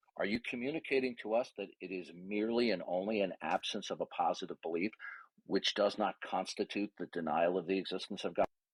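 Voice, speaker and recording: On a very clean recording with a silent background and a dry, close sound with no echo, a man talks at a fairly quick pace in an ordinary speaking voice, his fairly low pitch showing ordinary variation. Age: 60s. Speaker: debater. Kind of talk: heated debate.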